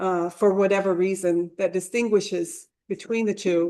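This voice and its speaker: A woman at medium pitch with fairly even intonation. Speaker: graduate student researcher in archaeology. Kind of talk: conference presentation. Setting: symposium with live audience. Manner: slow; hesitant, many fillers.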